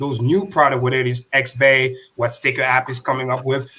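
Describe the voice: A man talks at a fairly quick pace in a medium pitch. His tone is bright and sharp, with little pitch movement.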